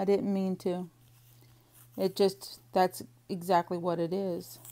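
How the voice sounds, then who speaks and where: In an American accent, a woman speaks at a very slow pace with a medium pitch. Her tone is dark and mellow, and her intonation is fairly even. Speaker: crafter / planner vlogger. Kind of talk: casual chat while crafting. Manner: chatty, rambling talk-through.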